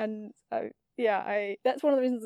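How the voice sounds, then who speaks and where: Dark, mellow tone from a woman at fairly high pitch, in a very clean recording with a silent background and a dry, close sound with no echo. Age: 20s. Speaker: amateur theatre archivist. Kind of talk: interview. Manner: halting.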